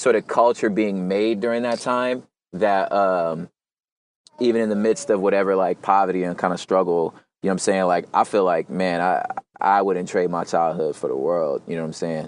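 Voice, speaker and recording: Relaxed in tone, a man speaks at a moderate pace with a fairly low pitch and ordinary pitch variation. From Los Angeles, South Central and San Gabriel Valley. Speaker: hip hop artist and poet. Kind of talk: casual interview conversation. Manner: relaxed, casual with many fillers.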